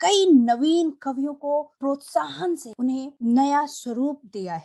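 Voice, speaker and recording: Her pitch is high, with very wide swings. The woman's voice has a dry, close sound with no echo. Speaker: podcast host. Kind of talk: interview questions.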